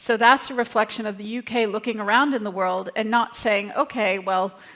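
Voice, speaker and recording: Speaking with a North American accent, a woman has a plain, everyday voice at a fairly high pitch. Her pace is moderate and her intonation fairly even. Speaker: think tank director, panelist. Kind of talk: conference panel talk.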